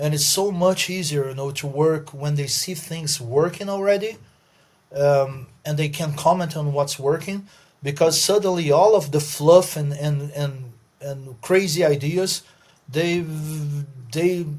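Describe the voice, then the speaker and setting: With a Brazilian accent, a man talks at a fairly slow pace in a fairly high pitch, somewhat breathy, with ordinary pitch variation. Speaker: podcast co-host. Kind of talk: casual chat.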